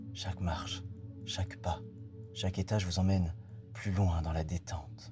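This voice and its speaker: Very deep, low male voice at a fairly slow pace, calm in tone, with fairly even intonation and music in the background. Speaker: hypnotherapist. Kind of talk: guided hypnosis countdown. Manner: slow, calm.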